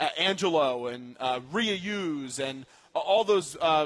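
A man speaks with an American accent. His intonation is lively. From New York. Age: 20s. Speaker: sports radio host. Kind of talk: sports talk radio. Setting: live remote broadcast at a restaurant. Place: studio.

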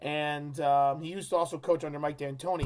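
At a moderate pace, a man is talking. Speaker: sports fan vlogger. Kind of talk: casual vlog chat. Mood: frank, somewhat critical. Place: home room. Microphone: webcam.

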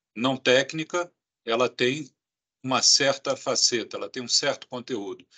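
Against a quiet background, a man with a bright, sharp tone speaks at a fairly slow pace with fairly even intonation. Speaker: health agency director. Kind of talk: press conference. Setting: video call. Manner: formal. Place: office. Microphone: video call.

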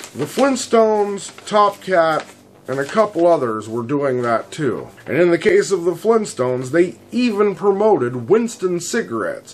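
A man talks at a moderate pace with very wide pitch swings while music plays in the background. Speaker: video host. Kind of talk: commentary. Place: studio.

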